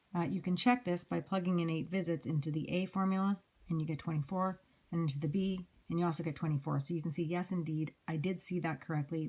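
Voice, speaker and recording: A woman speaks at a very fast pace in a very deep, low pitch, her tone dark and mellow, somewhat breathy, with fairly even intonation. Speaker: math teacher. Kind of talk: lecture.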